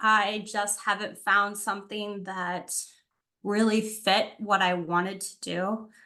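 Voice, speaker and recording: A woman's fairly high, bright, sharp voice with a slight Wisconsin accent, at a very slow pace over a quiet background. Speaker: university student conduct coordinator, prospective doctoral student. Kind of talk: casual introduction in online info session.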